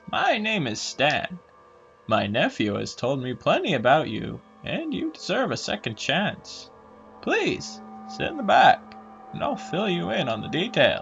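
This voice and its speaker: Using a put-on character voice, a man talks in a high register at a moderate pace. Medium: read story. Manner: monotone, dreary, calm.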